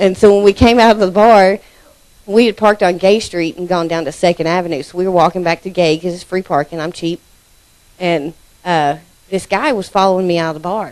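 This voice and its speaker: A woman with an American accent talks at a very fast pace and medium pitch, keeping her intonation fairly even. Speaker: church member giving testimony. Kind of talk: testimony. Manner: casual.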